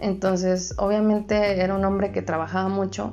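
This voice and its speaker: Noticeable background noise runs throughout. A woman speaks over it at a fairly quick pace. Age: 20s. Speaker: podcast co-host. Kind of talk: casual chat.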